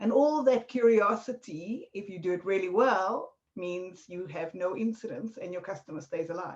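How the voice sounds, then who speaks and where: A woman with a South African accent at medium pitch and moderate pace, lively intonation, big swings in loudness and hardly any pauses. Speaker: marketing consultant, former bodyguard. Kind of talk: podcast interview.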